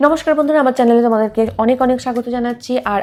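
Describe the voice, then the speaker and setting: A woman's dark, mellow tone, fairly high in pitch, with ordinary pitch variation. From Bengal. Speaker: beauty vlogger. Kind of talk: tutorial. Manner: casual, friendly.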